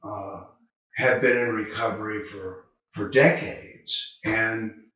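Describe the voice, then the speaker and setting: A man speaks very slowly, with audible room echo around his voice. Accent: Southern US. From US South, Charlotte, North Carolina. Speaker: addiction treatment counselor. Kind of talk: video talk to camera. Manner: relaxed, conversational with fillers.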